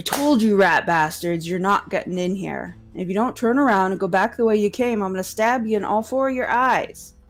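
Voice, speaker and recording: This is a put-on character voice, fairly high in pitch and growling. It moves at a fairly quick pace. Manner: snarling, threatening.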